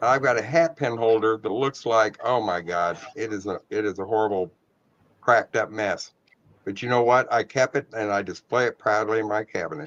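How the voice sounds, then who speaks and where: A man speaks at a medium pitch and a moderate pace, with ordinary pitch variation, in a plain, everyday voice. The sound is dry and close with no echo, over a quiet background. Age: 60s. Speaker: antique glass collector. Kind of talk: casual chat.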